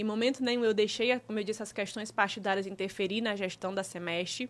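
A bright, sharp tone comes through in a very clean recording with a silent background. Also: woman. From Teresina, Piauí, Brazil. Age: 30s. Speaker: politician and shop owner. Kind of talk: interview.

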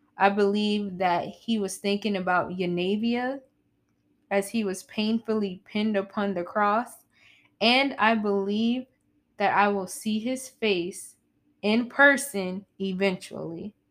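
A woman speaks in an ordinary speaking voice at a medium pitch, with fairly even intonation and a fairly slow pace. The recording is very clean, with a silent background. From US South. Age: 20s. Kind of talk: casual faith talk monologue. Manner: laughs often.

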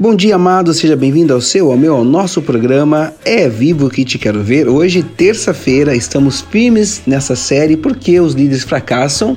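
Over music in the background, a man with a warm tone and fairly high pitch speaks at a moderate pace with very even loudness and hardly any pauses. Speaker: preacher and radio host. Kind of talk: sermon-style devotional teaching on a radio program. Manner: earnest, warm, exhortative, direct address to listeners.

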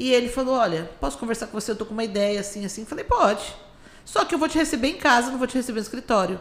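A woman talks in a high voice. Her intonation is lively. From Brazil, Campo Grande. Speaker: business owner. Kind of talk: casual interview.

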